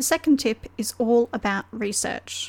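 A woman speaks fairly slowly at a fairly high pitch in a normal speaking voice. Her pitch variation is ordinary. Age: 30s. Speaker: podcast host and mystery author. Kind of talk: solo podcast tutorial.

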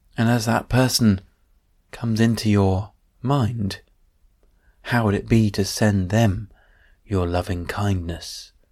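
On a very clean recording with a silent background, a man with a fairly low pitch speaks in a gentle, soothing tone at a very slow pace, with long, frequent pauses and fairly even intonation. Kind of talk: guided meditation. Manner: slow, gentle, soothing, with long pauses; soft-spoken, calm, unhurried.

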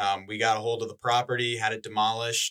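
Here a man speaks with an Upper Midwest US accent. His medium-pitched voice has a bright, sharp tone. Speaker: economic development specialist. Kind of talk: casual chat.

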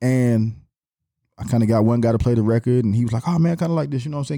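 A man speaks at a very fast pace in a dark, mellow tone at a medium pitch. Pitch variation is ordinary, and the recording is very clean with a silent background. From Atlanta, Georgia. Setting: studio.

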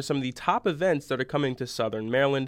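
A man is speaking. His pace is very fast. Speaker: news presenter. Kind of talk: formal newsreading of local crime and community stories. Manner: formal; steady, even-paced.

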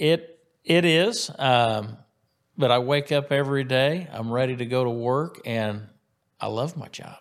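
Using a normal speaking voice, a man keeps a medium pitch with ordinary variation while talking at a fairly slow pace. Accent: American. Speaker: county sheriff. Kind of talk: interview. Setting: studio.

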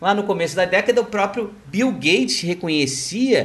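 Here a man talks at a fairly slow pace. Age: 40s. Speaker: financial market analyst. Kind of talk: solo market commentary podcast.

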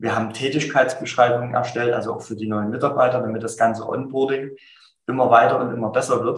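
The speech moves at a fairly quick pace with fairly even intonation and a somewhat breathy quality. Room echo is audible. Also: man. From Saxony, Germany (Dresden). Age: 30s. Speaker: insurance agency owner. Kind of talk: interview. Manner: dynamic.

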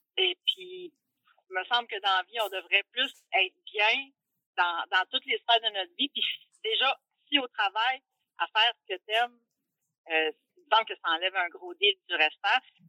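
Speaking with a Quebec accent, a woman uses lively intonation at a medium pitch, moving at a fairly slow pace with long, frequent pauses. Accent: Québécois French. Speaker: bus driver. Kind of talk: interview.

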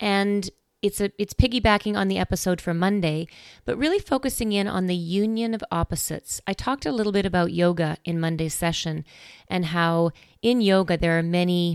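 A woman with an unremarkable speaking voice at a medium pitch, fairly quick pace and ordinary pitch variation, dry and close with no echo, on a very clean recording with a silent background. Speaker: meditation host. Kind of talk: guided meditation. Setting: quiet background music. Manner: gentle, instructional.

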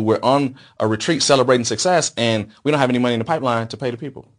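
Delivered at a very fast pace, this voice has an American accent and ordinary pitch variation. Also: man. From Las Vegas, Nevada, US. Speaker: entrepreneur. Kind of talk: interview.

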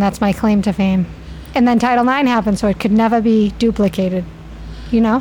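A woman with a Boston accent talks at a fairly quick pace and a fairly high pitch, with ordinary pitch variation. Noticeable background noise sits behind her. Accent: Boston area. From Medford, Massachusetts. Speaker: hockey mom, former hockey player. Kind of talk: interview. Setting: in a bar between games.

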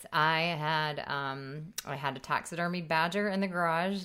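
On a very clean recording, the background is silent. A woman talks at a very deep, low pitch, and her pitch varies in an ordinary way. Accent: American. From US military family, raised moving around. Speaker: comedy podcast co-host. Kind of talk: casual chat. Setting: studio.

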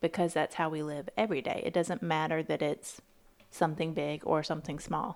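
Vocal fry runs through fairly quick speech with ordinary pitch variation, captured in a very clean recording against a silent background. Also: woman, very deep, low pitch for a woman. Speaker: podcast co-host. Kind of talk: casual chat about faith.

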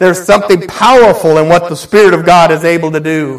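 This man has a high-pitched voice with ordinary pitch variation. Noticeable background noise runs under him. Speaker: pastor. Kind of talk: sermon. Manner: animated.

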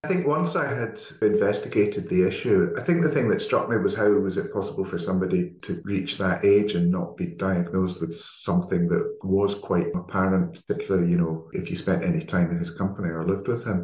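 A man with a fairly low voice talks at a fairly quick clip, somewhat breathy, with lively intonation and hardly any pauses. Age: 50s. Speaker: journalist and novelist. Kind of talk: interview.

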